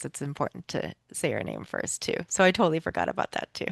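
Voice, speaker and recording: Vocal fry runs through very fast speech, captured dry and close with no echo against a quiet background. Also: woman. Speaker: PTA council meeting facilitator. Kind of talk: community meeting presentation.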